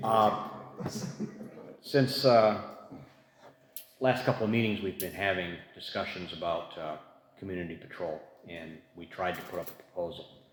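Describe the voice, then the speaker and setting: The speech moves at a fairly slow pace with ordinary pitch variation and long, frequent pauses. Audible room echo is present. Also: man. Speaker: community advisory board member. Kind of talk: public meeting discussion. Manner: soft-spoken.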